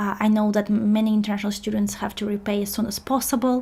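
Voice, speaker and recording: Speaking at a fairly quick pace with a non-native accent, the voice sounds somewhat breathy. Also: woman. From outside the UK. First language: not English. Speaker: career coach. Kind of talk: webinar presentation. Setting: live online webinar. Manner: hesitant, many fillers.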